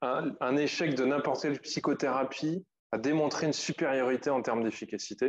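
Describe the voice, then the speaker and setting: A man's fairly high voice at a fairly quick pace, with fairly even intonation and very even loudness. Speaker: psychologist and psychotherapist giving a talk. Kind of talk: lecture. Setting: conference, live and by video. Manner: fast.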